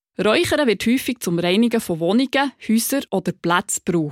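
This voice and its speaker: A fairly high-pitched woman's voice with very wide pitch swings at a moderate pace, dry and close with no echo, on a very clean recording with a silent background. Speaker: podcast host. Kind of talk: interview; scripted narration.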